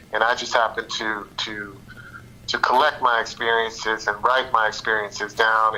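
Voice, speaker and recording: The man talks at a moderate pace with medium pitch. There is noticeable background noise. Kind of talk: interview. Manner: halting, repeats words.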